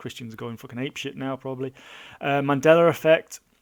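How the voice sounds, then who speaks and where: A man at a very fast pace in a British accent, with ordinary pitch variation. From Britain. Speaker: blogger. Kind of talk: casual monologue. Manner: halting, many fillers and repeats. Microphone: mic too close, lip smacking.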